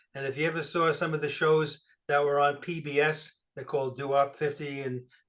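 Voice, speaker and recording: A man with an American accent speaks in a fairly high voice. His intonation is monotone and flat, at a fairly quick pace. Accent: New York accent, noticed by people in Arizona. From New York City. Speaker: guest speaker at a computer club. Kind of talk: presentation. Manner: casual, with frequent fillers.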